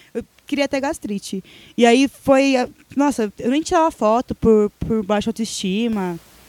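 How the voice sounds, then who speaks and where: Fairly high in pitch, a woman talks at a fairly slow pace with ordinary pitch variation. It is an ordinary speaking voice, heard in a dry, close sound with no echo. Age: 20s. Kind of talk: casual chat.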